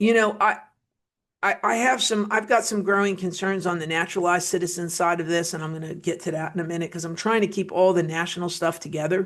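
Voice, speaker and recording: This woman speaks with a New Jersey accent and an animated tone. Her pace is very fast. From New Jersey, US (Wayne). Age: 50s. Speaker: political commentator. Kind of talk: political commentary monologue. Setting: studio.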